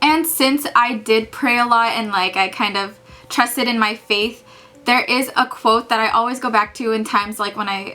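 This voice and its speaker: Music plays in the background as a woman with an American accent and a fairly high pitch talks with fairly even intonation. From California. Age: 20s. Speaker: medical student vlogger. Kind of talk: casual vlog talk. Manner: casual, many fillers like and um.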